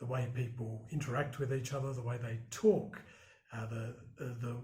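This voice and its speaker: Over noticeable background noise and audible room echo, a man speaks at a moderate pace with a medium pitch and monotone, flat intonation. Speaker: broadcast journalist. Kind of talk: interview. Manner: hesitant, many fillers.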